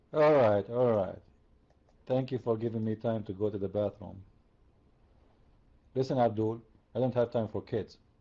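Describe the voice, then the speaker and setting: A man with an Arabic accent speaks at medium pitch and a moderate pace, using fairly even intonation and long, frequent pauses. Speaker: religious debater. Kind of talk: heated debate. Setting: online voice chat room.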